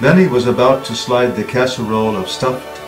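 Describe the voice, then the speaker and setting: Music plays behind a man speaking in a dramatic tone. His pitch is medium and his pace moderate. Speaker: audiobook narrator. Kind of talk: book trailer narration.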